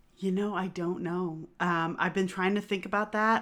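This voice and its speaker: A plain, everyday voice: a woman at medium pitch, fairly quick in pace and fairly even in intonation, on a very clean recording with a silent background. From US Northeast. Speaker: podcast co-host, tour guide. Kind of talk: casual history chat.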